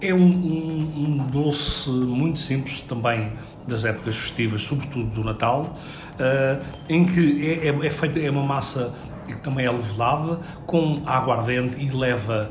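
Through noticeable background noise and audible room echo, a man with a fairly high pitch speaks at a fairly slow pace. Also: ordinary pitch variation. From Portugal, Seixal. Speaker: chef. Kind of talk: radio interview. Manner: hesitant, with fillers and repetitions.

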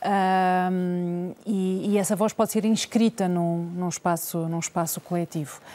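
Her voice is medium in pitch with a dark, mellow tone, a monotone, flat intonation, a fairly slow pace and hardly any pauses. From Portugal. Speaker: journalist and interviewer. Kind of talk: televised debate.

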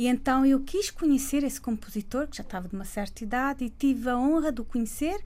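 The recording is very clean, with a silent background. A woman with a high-pitched voice speaks at a moderate pace with lively intonation. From Cape Verde (Praia). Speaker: singer. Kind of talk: radio interview.

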